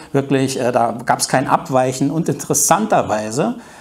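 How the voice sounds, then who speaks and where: The man's pitch is fairly high. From East Germany. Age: 50s. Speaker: journalist. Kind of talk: talk to an audience. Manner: hesitant, many fillers.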